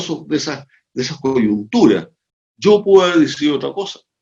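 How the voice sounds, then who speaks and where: A man speaks at a fairly quick pace. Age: 70s. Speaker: sociologist and organizational consultant. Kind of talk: interview conversation. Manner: animated.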